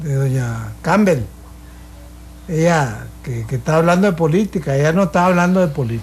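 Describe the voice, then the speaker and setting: With music behind it, the voice keeps a moderate pace. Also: man. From Costa Rica, Puntarenas. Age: 80s+. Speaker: painter. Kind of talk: radio panel discussion.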